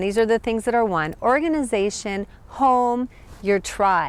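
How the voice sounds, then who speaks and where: A woman with an American accent has an unremarkable speaking voice and a fairly high pitch. Her pace is fairly slow, with ordinary pitch variation. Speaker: spiritual teacher, chakra coach. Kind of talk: self-help talk to camera. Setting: outdoors in a park.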